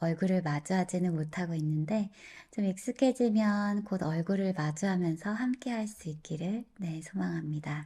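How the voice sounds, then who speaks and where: A woman's somewhat breathy, fairly low voice with a dark, mellow tone, at a fairly slow pace, on a very clean recording with a silent background. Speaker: meditation guide. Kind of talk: casual talk introducing a meditation. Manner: soft-spoken, slow.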